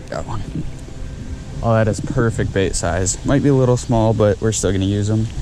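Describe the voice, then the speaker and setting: A man speaks quietly at a fairly quick pace and a fairly low pitch, with audible room echo and noticeable background noise. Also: ordinary pitch variation. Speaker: fishing vlogger. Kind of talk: vlog narration. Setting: outdoors at a beach channel. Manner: casual.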